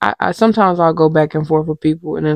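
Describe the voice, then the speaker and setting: Quiet and fairly even in intonation, a woman speaks at a fairly low pitch, the sound dry and close with no echo. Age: 30s. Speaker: podcast host. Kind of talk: casual chat. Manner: quiet, talking low; halting, many fillers.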